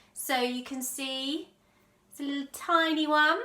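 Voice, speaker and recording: In an English accent, a raised, projected voice with a bright, sharp tone speaks at a fairly slow pace. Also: woman. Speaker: sewing vlogger. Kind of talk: casual vlog talk. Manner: loud.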